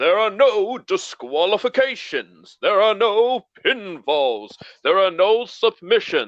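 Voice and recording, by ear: In a put-on character voice, a man with a high pitch goes at a fairly slow pace with hardly any pauses.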